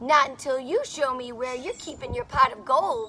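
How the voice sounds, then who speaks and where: A woman's whiny, high-pitched, put-on character voice at a moderate pace. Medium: read story. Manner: whiny, complaining.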